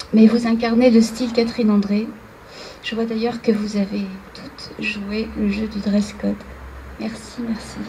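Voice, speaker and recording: A woman talks fairly slowly in a fairly high, monotone, flat voice, leaving long, frequent pauses. Background noise is noticeable. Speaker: fashion designer receiving an award. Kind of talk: acceptance speech. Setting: ceremony with audience.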